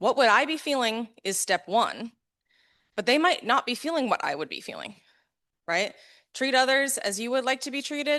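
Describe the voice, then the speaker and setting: In a raised, projected voice with an American accent, a woman speaks high and in a bright, sharp tone, with long, frequent pauses. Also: lively intonation, moderate pace, quiet background. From US West Coast, Los Angeles. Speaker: neurodiversity coach and conference speaker. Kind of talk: conference talk. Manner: loud; animated.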